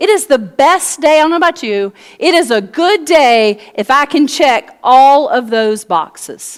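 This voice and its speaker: Speaking at a fairly slow pace, a woman with a Southern US accent uses a high pitch and very wide pitch swings. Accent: American Southern. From US South. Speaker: pastor. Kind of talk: sermon.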